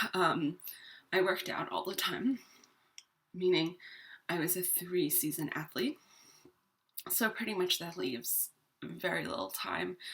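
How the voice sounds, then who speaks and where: A woman speaks at a fairly slow pace in a bright, sharp tone with vocal fry. Her pitch is fairly low, and her pitch variation is ordinary. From New York, born in Ireland. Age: 30s. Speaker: vlogger. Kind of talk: casual personal vlog. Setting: at home. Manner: hesitant, many fillers.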